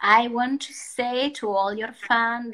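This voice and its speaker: Very slowly, a woman with an Italian accent speaks in a bright, sharp tone. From Italy. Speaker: artist. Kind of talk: interview. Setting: Instagram live video call. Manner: halting.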